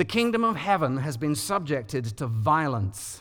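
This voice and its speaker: A man with a London accent talks at a fairly slow pace. His fairly high voice makes very wide pitch swings. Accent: British (London). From London, England. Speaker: preacher. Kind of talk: sermon. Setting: church.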